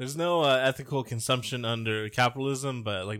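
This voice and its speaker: A man's animated, medium-pitched voice at a fairly quick pace. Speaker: podcast host. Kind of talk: casual banter. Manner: joking, rambling, animated.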